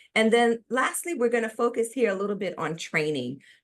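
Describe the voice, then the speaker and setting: A woman with a New York accent, a fairly high pitch and lively intonation, against a quiet background. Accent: New York City. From US, New York City. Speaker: business consultant presenting a webinar. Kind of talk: webinar presentation. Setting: online webinar.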